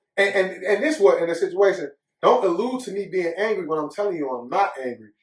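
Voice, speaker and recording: Loud and very fast, a man with a high pitch talks with lively intonation. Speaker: podcast co-host. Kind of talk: casual chat. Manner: animated.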